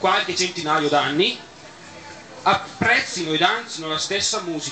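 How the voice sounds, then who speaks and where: Moderate-paced talk from a man over noticeable background noise. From Bergamo, Italy. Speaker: event host giving closing speech. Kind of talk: moralizing closing speech. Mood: earnest, moralizing. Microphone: camera far.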